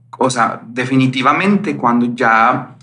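A man at a medium pitch and a very slow pace, with audible room echo and noticeable background noise. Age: 30s. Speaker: psychologist. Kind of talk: interview. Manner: hesitant, many fillers.

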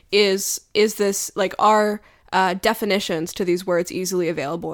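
A woman's plain, everyday voice of medium pitch with ordinary pitch variation, on a very clean recording with a silent background. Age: 20s. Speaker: cultural critic and essayist. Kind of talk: interview.

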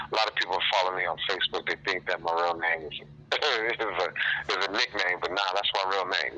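At a fairly quick pace, a man's very deep, low voice cuts through noticeable background noise. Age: 40s. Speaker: pop-lock dancer and fitness instructor. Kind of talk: casual interview.

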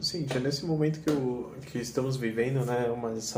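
There is audible room echo and noticeable background noise. A man talks at a fairly high pitch. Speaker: podcast host, business consultant. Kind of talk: interview.

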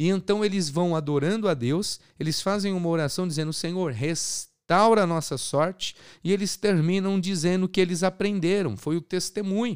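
The very clean recording, with a silent background, carries speech at a moderate pace with ordinary pitch variation. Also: man, high pitch for a man. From Brazil, São Paulo state. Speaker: podcast host, evangelical preacher. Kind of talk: sermon. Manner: animated.

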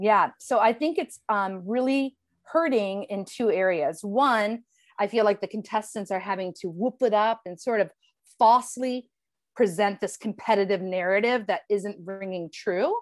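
A woman speaks in a normal speaking voice at a medium pitch with ordinary pitch variation. The recording is very clean, with a silent background. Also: moderate pace. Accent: American. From Ohio, Cleveland. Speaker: former game show contestant. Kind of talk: casual chat.

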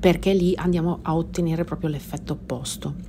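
A woman's tone is dark and mellow. Her fairly low pitch follows fairly even intonation. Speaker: podcast host, personal growth coach. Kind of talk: podcast monologue; guided meditation.

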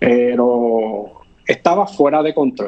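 A man is speaking. He has a Puerto Rican accent. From Puerto Rico. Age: 40s. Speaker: fitness influencer. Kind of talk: interview. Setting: video call.

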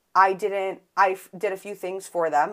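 Speaking at a fairly slow pace, a woman with an American accent has a medium-pitched voice. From Buffalo, New York, US. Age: 20s. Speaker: podcast host. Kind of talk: solo casual monologue.

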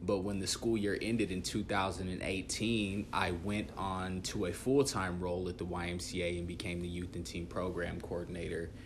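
Amid audible room echo, a man with an American accent speaks in a very deep, low, somewhat breathy voice with fairly even intonation and hardly any pauses. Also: moderate pace. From US Midwest, Dodge City, Kansas. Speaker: youth worker. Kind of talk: casual interview chat.

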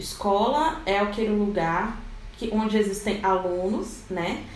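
A woman of medium pitch at a fairly slow pace, with noticeable background noise and audible room echo. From Rio de Janeiro, Brazil. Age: 20s. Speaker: educator and researcher. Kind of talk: podcast panel discussion.

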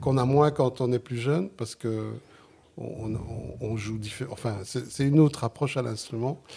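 A man with a Sicilian accent at a medium pitch and moderate pace, with ordinary pitch variation. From Flemish Limburg, Belgium, Italian community. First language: Sicilian (speaking French). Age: 60s. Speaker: jazz saxophonist. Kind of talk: interview. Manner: halting.

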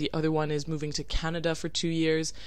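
A woman's very deep, low voice, flat and monotone, at a fairly quick pace, with audible room echo and noticeable background noise. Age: 20s. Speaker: podcast host. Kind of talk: casual solo podcast monologue.

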